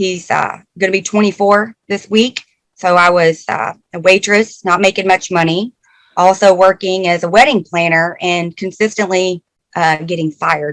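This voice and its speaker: With an American accent, a woman speaks at a medium pitch and fairly even intonation, the sound dry and close with no echo. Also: moderate pace. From Arkansas. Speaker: engineering program manager. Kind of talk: talk to a class. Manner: many filler words and hesitations.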